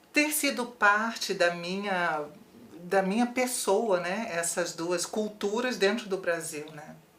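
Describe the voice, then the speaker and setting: Speaking at a very slow pace, a woman with a medium pitch and lively intonation swings widely in loudness, with audible room echo and noticeable background noise. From Brazil, Rio de Janeiro. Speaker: theologian and author. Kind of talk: interview.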